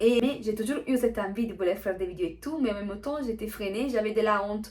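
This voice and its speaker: Over noticeable background noise, a woman with an Italian accent talks very fast at a fairly high pitch, her pitch varying in an ordinary way. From Italy. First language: Italian (speaking French). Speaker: vlogger. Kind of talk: casual vlog talk. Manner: hesitant, many fillers.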